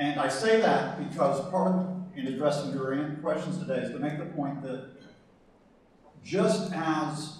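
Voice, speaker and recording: An American accent with ordinary pitch variation, amid audible room echo and noticeable background noise. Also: man. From US South. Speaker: professor and conference panelist. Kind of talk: conference talk. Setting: conference hall with audience.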